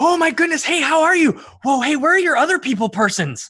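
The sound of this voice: Someone rattles off lines at a very fast pace in a high-pitched, put-on character voice.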